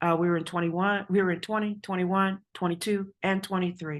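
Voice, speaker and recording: In a New York accent, a woman talks at medium pitch and a fairly quick pace with fairly even intonation, in a very clean recording with a silent background. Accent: New York American. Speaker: university administrator. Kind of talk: conference presentation. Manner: fast.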